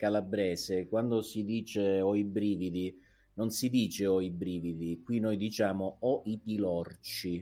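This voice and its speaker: A dark, mellow tone at a fairly slow pace on a very clean recording with a silent background. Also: man. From Calabria, Italy. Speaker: guest. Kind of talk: casual chat. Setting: studio.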